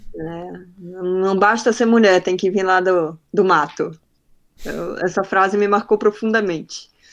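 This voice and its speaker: Very slow delivery with fairly even intonation. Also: woman, medium pitch for a woman. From Belém do Pará, northern Brazil. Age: 30s. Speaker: growth marketing specialist. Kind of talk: casual interview.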